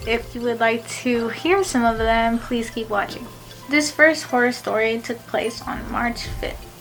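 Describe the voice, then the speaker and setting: The delivery is fairly slow, with ordinary pitch variation. Music plays in the background. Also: woman. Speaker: college student. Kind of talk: casual talk to camera.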